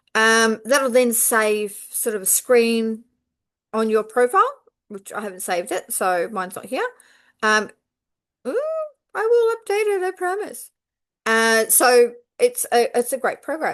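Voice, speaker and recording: With an Australian accent, a woman speaks at a fairly slow pace with a high pitch, lively intonation, big swings in loudness and long, frequent pauses against a quiet background. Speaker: quilting teacher. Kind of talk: tutorial. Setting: at home on couch with laptop. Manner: unscripted, rambling with fillers.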